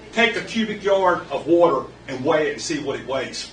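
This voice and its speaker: Speaking with an American accent, a man uses a high pitch and lively intonation at a moderate pace, amid audible room echo and noticeable background noise. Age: 60s. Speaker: local resident speaking at public comment. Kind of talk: public comment at council meeting. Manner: animated.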